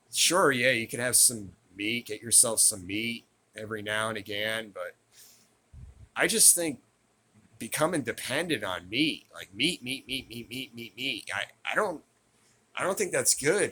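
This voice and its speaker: A man at a medium pitch, bright and sharp in tone, lively intonation, fairly slow pace with long, frequent pauses. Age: 50s. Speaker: vlogger. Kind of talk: casual monologue. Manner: halting, many repeated words.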